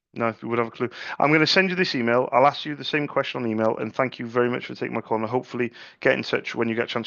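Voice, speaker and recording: A man speaks with a medium pitch. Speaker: ink sales rep. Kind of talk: sales cold call. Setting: phone call. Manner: halting, repeats words.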